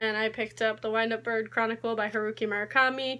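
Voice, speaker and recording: A woman with a bright, sharp tone and fairly high pitch. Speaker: book vlogger. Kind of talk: casual vlog. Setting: video recording. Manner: fast talker. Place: home room. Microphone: phone near.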